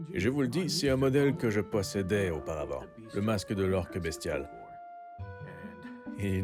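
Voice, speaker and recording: Fairly low male voice at a moderate pace, with very wide pitch swings and music in the background. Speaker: live-action role-player. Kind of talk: casual product review to camera.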